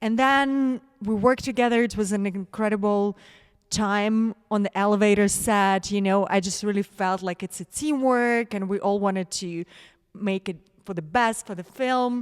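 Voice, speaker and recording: On a very clean recording with a silent background, a woman with a Russian accent speaks at a moderate pace in a medium pitch, the sound dry and close with no echo. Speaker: actress. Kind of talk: interview. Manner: animated.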